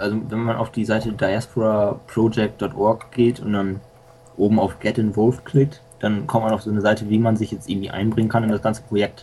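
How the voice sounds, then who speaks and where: This man talks at a moderate pace in a fairly low voice, his intonation flat and monotone. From Lower Saxony, Germany. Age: young. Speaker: school student and software hobbyist. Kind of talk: casual radio interview.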